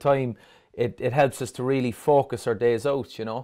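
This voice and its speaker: Medium-pitched male speech in a Cork accent at a moderate pace, on a very clean recording with a silent background. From Ireland, Dublin. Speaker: fisheries scientist and angler. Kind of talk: interview.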